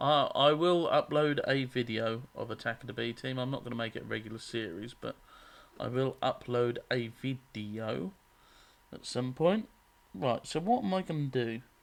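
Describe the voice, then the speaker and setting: With a strong Norfolk accent, a man talks at a moderate pace and medium pitch, with ordinary pitch variation. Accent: strong Norfolk country. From England, Norfolk. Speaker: gaming YouTuber. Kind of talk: let's play commentary. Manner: casual, hesitant with fillers.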